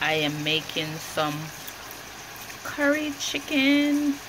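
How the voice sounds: Clear background noise runs under a woman speaking slowly. Her high voice makes big pitch swings.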